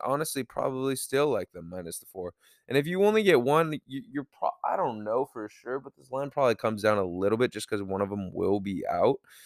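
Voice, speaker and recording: A man talks at a fairly quick pace with very wide pitch swings. The sound is dry and close, with no echo. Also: medium pitch for a man, hardly any pauses, very clean recording, silent background. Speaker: sports betting podcast host. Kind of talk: casual monologue. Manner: fast; casual, profane.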